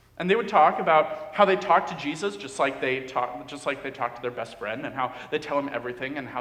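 Over noticeable background noise, a man talks very fast in a fairly high voice with lively intonation. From Dominican Republic. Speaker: pastor. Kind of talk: sermon. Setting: church.

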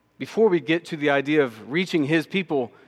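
Over a quiet background, a man speaks with a Texan accent. His intonation is lively and his pace moderate. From Texas, Austin. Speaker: missions minister. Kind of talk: sermon. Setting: church.

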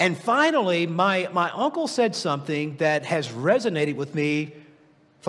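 In an American accent, a man with a high pitch talks in an animated tone with lively intonation, and the room echo is audible. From US South, Tennessee. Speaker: guest preacher and executive coach. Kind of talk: sermon. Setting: church service with congregation.

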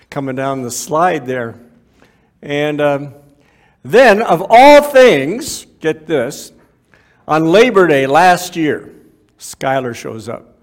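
Speaking at a very slow pace with long, frequent pauses, a man with a fairly high pitch uses lively intonation and big swings in loudness, with audible room echo around him. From Canada (Waterloo, Ontario). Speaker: ministry speaker. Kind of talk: sermon. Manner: halting.

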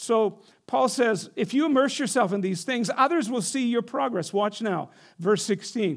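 A man talks in a high pitch with lively intonation. The recording is very clean and the background silent. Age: 60s. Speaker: pastor. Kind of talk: sermon. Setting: church.

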